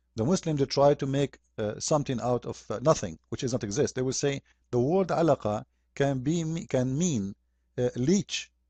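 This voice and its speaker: A man with a medium pitch and an Arabic accent speaks in a dark, mellow tone over a quiet background. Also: dry, close sound with no echo. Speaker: religious critic. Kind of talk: polemic video commentary. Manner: animated.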